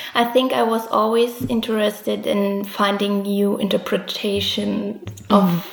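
Very slow speech from a woman in a German accent, medium in pitch, with noticeable background noise and audible room echo. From East Germany, Dresden. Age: 20s. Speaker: illustrator. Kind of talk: interview.

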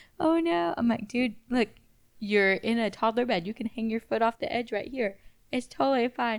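In a very clean recording with a silent background, a woman with an ordinary speaking voice speaks at a moderate pace, her fairly high pitch showing ordinary variation. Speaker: podcast co-host. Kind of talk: casual chat.

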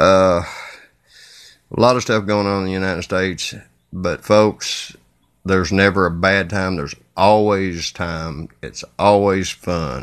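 Here a man with a Kentucky accent talks at a fairly slow pace. His very deep, low voice holds a fairly even intonation. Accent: Southern US (Kentucky). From Kentucky, US. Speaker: podcast host and singer-songwriter. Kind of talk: casual solo podcast intro. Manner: talkative, chatty.

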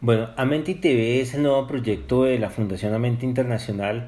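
A man talks at a moderate pace, his medium-pitched voice somewhat breathy. His pitch variation is ordinary. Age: 50s. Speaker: poet and spiritual author. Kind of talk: interview.

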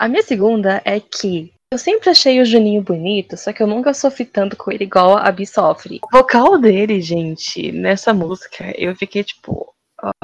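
A normal speaking voice moves at a moderate pace with ordinary pitch variation, in a dry, close sound with no echo. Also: woman, medium pitch for a woman. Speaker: podcast co-host. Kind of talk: casual chat. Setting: remote recording.

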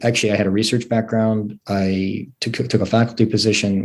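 A man's fairly low, flat monotone in an American accent at a fairly quick pace. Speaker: pathology professor. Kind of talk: interview conversation. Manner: calm, measured.

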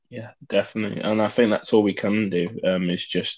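A man speaks in a flat monotone at a fairly low pitch and a fairly slow pace. The background is quiet. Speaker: podcast host. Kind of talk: interview. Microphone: unstable connection, on 4G.

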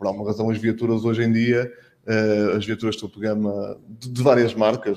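Speaking at a moderate pace, a man with a medium pitch and a dark, mellow tone keeps a monotone, flat intonation. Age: 40s. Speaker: public relations manager at car dealer. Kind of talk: panel discussion.

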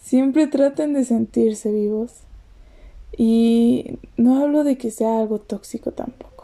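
In a central Mexican accent, a woman with a fairly high pitch and a dark, mellow tone speaks at a very slow pace with fairly even intonation. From Mexico, State of Mexico. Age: 20s. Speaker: poet and podcaster. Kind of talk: casual monologue with poetry reading.

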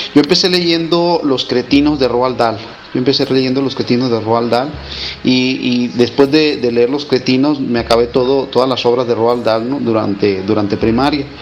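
Amid noticeable background noise, a man talks at a moderate pace and medium pitch with ordinary pitch variation. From Mexico, Mazatlán, Sinaloa. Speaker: writer. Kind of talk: interview. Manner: halting.

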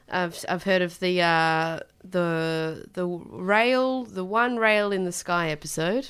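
The speaker has an Australian accent and ordinary pitch variation. The pace is very slow, with hardly any pauses. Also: woman, fairly low pitch for a woman. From Australia, Tasmania. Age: 20s. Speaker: podcast co-host. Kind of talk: casual chat. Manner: animated.

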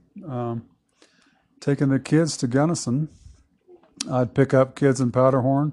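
Speaking in an East Texas accent, a man with a dark, mellow, medium-pitched voice talks at a fairly slow pace in a monotone, flat way with long, frequent pauses. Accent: East Texas Southern American. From US South (Southeast Texas). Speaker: longtime local resident. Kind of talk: casual interview. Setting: at home.

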